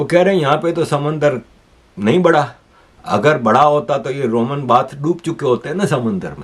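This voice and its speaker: A man talks at a moderate pace with a fairly high pitch and ordinary pitch variation. His is a plain, everyday voice. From Pakistan, Karachi. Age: 60s. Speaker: political commentator, YouTuber. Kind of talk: news commentary monologue.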